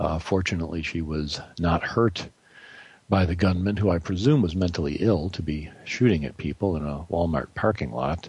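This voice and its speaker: A man with an American accent speaks at a very deep, low pitch. His delivery is somewhat breathy and moderately paced. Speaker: radio host. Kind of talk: interview, conversational.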